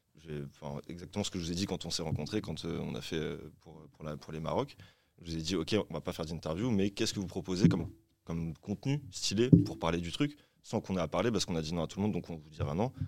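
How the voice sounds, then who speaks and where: The man's pitch is very deep and low. He talks at a very fast pace with lively intonation. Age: 30s. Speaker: independent record label founder. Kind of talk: round-table discussion. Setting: studio.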